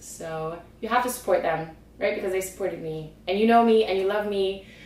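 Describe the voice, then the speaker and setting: A woman speaks with lively intonation amid noticeable background noise and audible room echo. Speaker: fitness vlogger. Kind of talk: casual vlog monologue. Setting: home, on camera. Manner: animated.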